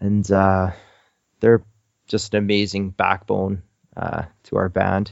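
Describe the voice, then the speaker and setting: Speaking with a Canadian accent, a man keeps a fairly low pitch. His delivery is very slow, with a monotone, flat intonation. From Canada. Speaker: musician in indie rock band. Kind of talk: casual interview.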